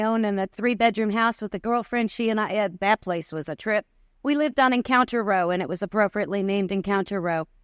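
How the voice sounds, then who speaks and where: A woman with a fairly high voice speaks at a very fast pace. The recording is very clean and dry, close with no echo and a silent background. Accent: New York. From New York. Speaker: recovery convention speaker. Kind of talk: testimony.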